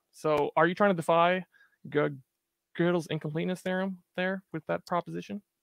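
Against a quiet background with dry, echo-free sound, a man talks at a high pitch and a fairly quick pace, his intonation fairly even and broken by long, frequent pauses. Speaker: stream co-host asking questions. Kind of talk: casual chat. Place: home room. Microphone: video call.

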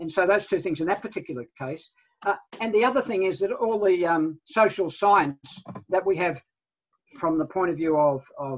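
A man speaks with a New Zealand accent at a moderate pace. His pitch varies in an ordinary way. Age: 70s. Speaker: guest. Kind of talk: presentation. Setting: video call. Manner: halting. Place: home room. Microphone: video call.

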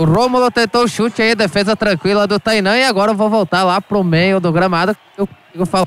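Against noticeable background noise, a man talks at a fairly quick pace in a high pitch, with fairly even intonation, very even loudness and a dry, close sound with no echo. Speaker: pitchside sports reporter. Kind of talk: live commentary. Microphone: faulty, cutting out.

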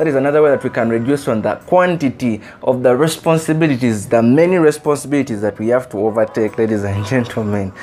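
A man talks at a very fast pace with faint music in the background. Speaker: motivational speaker. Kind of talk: motivational speech. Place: home room. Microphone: lapel.

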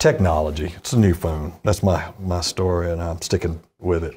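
A man's low, dark, mellow voice at a moderate pace with fairly even intonation, in a very clean recording with a silent background

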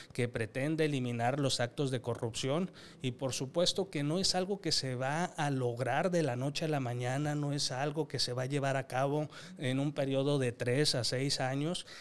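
This man speaks at a moderate pace. His pitch is medium, with fairly even intonation. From Mexico, Coahuila (La Laguna region); Coahuila, Mexico. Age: young. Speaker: government official and political commentator; political commentator. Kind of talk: political discussion panel. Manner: formal. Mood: earnest, measured. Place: studio. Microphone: studio mic.

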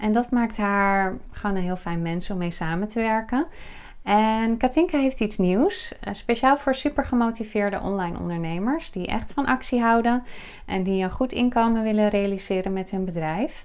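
A woman's fairly high voice with lively intonation, at a moderate pace. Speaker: video host and business coach. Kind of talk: interview intro and questions. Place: office.

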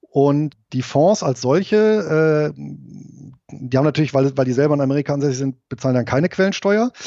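With lively intonation and a plain, everyday voice, a man talks at a middling speed. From Rhineland, Germany. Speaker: investor and IT company manager, ex-soldier. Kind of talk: interview.

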